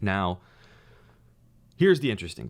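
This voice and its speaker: Vocal fry on a very clean recording with a silent background. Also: man. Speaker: crypto commentator. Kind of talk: casual commentary.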